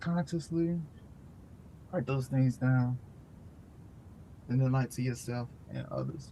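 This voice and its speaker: With long, frequent pauses, a man speaks at a fairly slow pace in a medium pitch, his somewhat breathy voice dark and mellow in tone and his intonation fairly even. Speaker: meditation and book study host. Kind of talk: casual spoken wrap-up of a book study.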